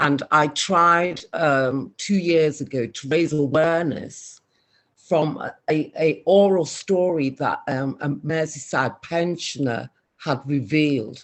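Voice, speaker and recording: The speaker has a Scouse accent. The delivery is very slow. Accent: soft Scouse. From Liverpool, England. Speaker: community speaker. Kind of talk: online community meeting talk.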